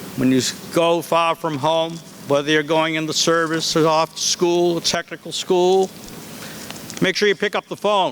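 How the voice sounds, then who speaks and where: Noticeable noise sits in the background. The intonation stays fairly even. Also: man, high pitch for a man, moderate pace. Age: 70s. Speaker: school head. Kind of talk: commencement speech. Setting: outdoors with audience.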